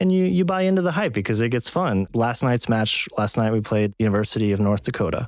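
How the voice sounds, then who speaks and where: With an American accent, a man with an unremarkable speaking voice talks at a fairly quick pace and fairly low pitch, his intonation lively and his loudness very even, in a very clean recording with a silent background. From Texas. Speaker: university esports coach. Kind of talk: interview.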